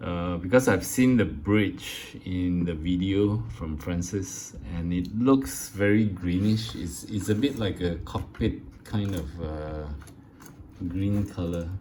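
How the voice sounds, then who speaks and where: A man with a very deep, low voice speaks very slowly, with ordinary pitch variation. Room echo is audible. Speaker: scale model builder. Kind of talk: casual tutorial / build update. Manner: halting, many fillers.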